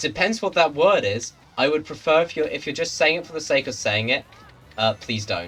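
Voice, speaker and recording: Over music in the background, a man with a British accent speaks at a fairly quick pace with very wide pitch swings. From Britain. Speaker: streamer. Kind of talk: casual chat. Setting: live stream with voice chat.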